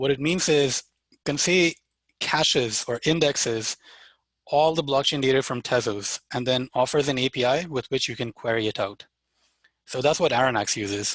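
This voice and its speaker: A man talks in an unremarkable speaking voice at a medium pitch and moderate pace with ordinary pitch variation. The background is quiet, and the sound is dry and close with no echo. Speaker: developer workshop presenter. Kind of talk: live software demo tutorial. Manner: casual with fillers.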